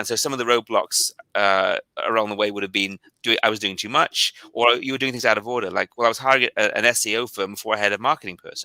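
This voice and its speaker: On a very clean recording with a silent background, dry and close with no echo, a man at a medium pitch speaks at a very fast pace with fairly even intonation and a bright, sharp tone. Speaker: tech company founder and CEO. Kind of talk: interview conversation. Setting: live video stream.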